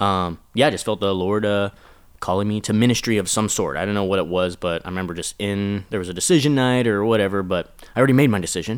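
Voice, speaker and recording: A man with an American accent talks at a very fast pace, his fairly low pitch moving with ordinary variation. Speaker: children's pastor. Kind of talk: casual chat.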